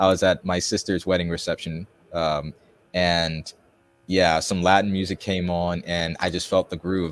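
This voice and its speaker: A man talks at a moderate pace in a very deep, low voice with monotone, flat intonation. The sound is dry and close, with no echo. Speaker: self-published author. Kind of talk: interview.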